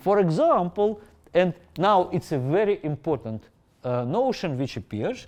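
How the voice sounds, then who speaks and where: A man with a non-native accent, fairly slow in pace, his pitch swinging very widely. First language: not English. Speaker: professor. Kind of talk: lecture. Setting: lecture hall with Zoom audience. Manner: halting.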